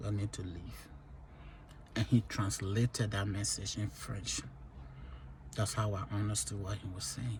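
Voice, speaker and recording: With vocal fry and a fairly low pitch, a man talks at a fairly slow pace using lively intonation and long, frequent pauses. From Liberia. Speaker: vlogger sharing life stories. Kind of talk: personal testimony.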